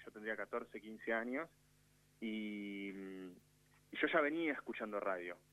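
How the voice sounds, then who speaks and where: A man talks with lively intonation at a fairly low pitch. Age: 30s. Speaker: radio producer. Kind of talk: casual chat.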